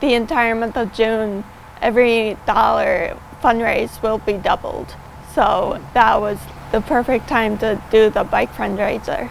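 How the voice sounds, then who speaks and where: Light background noise sits under a woman's fairly slow speech, which sounds dry with no echo. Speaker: fundraiser cyclist. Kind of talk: interview answer. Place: open country. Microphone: lapel.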